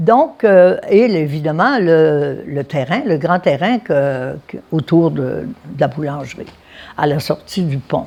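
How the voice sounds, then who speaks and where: Very slow speech from a woman with a very deep, low pitch, a dark, mellow tone and lively intonation. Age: 90s. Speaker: family business elder. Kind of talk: oral history interview. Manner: hesitant, with fillers.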